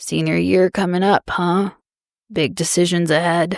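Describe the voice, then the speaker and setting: A woman's put-on character voice, raspy and fairly low in pitch, at a moderate pace. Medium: read story. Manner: warm, unhurried.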